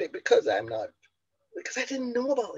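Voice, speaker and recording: Jamaican-accented woman at a fairly quick pace with very wide pitch swings. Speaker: motivational speaker and business coach. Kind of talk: motivational talk. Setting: online conference.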